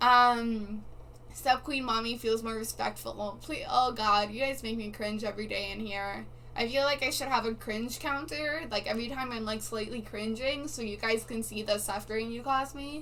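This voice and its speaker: A woman talks at a moderate pace in a high pitch. Audible room echo and noticeable background noise fill the recording. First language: not English. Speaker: live streamer. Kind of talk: casual live stream chat. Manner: animated.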